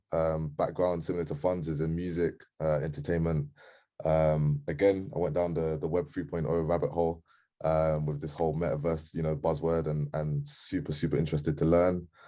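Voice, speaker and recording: A man's very deep, low voice in a London accent, dark and mellow in tone, monotone and flat, at a fairly quick pace over a quiet background. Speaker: community member. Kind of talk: casual group call. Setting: video call, camera off. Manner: hesitant, many ums.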